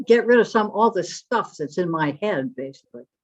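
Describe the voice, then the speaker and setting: A woman at a medium pitch speaks at a moderate pace, her voice moving in very wide pitch swings. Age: 90s. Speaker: retired psychology professor. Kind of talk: conference talk.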